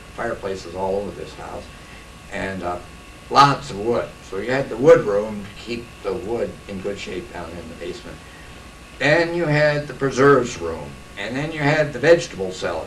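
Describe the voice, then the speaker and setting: A man with an American accent and a medium pitch speaks at a moderate pace, his pitch swinging very widely. Noticeable background noise and audible room echo surround him. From US Midwest, Iowa. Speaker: local historian. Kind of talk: oral history talk.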